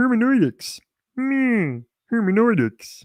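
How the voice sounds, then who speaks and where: A put-on character voice with a playful tone, fairly high pitch and a fairly slow pace. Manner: playful, comical voice.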